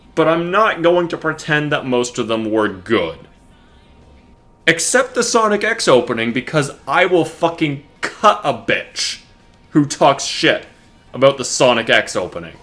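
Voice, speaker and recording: Over music in the background, the voice moves at a fairly slow pace with very wide pitch swings. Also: man, fairly high pitch for a man. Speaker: anime reviewer. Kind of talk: scripted video review.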